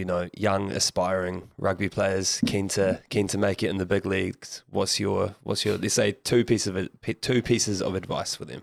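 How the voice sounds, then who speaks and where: A man with a New Zealand accent on a very clean recording, background silent. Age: young. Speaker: podcast host. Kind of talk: casual chat.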